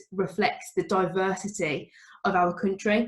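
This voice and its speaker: A woman talks in a strong Birmingham accent with monotone, flat intonation. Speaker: teacher. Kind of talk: talk at an online event.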